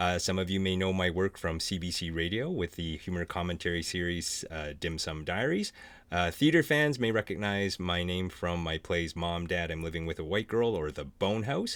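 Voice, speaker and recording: Very deep, low male voice with a Canadian accent, moderately paced with hardly any pauses and ordinary pitch variation. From small French Canadian town. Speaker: author and panel moderator. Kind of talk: virtual panel hosting. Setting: Zoom video call.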